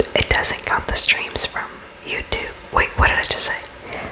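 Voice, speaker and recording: Someone is whispering at a fairly slow pace. Noticeable background noise runs underneath. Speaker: ASMR content creator. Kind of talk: ASMR close-up whisper ramble; casual talk to camera. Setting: close-up new microphone, home recording. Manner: whispered, casual, rambling.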